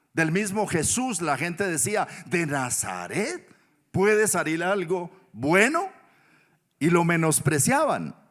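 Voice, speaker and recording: Lively intonation runs through a man's high-pitched speech. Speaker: pastor. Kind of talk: sermon.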